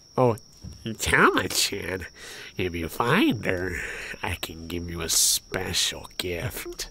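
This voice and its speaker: A put-on character voice at a very deep, low pitch, very slow in pace, with long, frequent pauses. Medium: game stream. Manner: oily, flattering.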